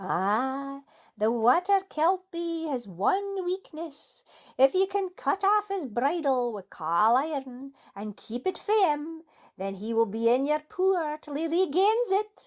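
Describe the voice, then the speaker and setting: A woman does a put-on character voice in a Scottish accent. She speaks fairly slowly at a high pitch. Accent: Scots. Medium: read story.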